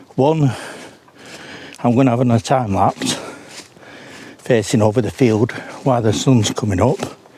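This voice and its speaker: Against noticeable background noise, a man of medium pitch and ordinary pitch variation talks at a moderate pace, with long, frequent pauses. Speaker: paranormal investigator vlogger. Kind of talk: casual vlog monologue. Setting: outdoors, walking on moors at dawn. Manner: soft-spoken.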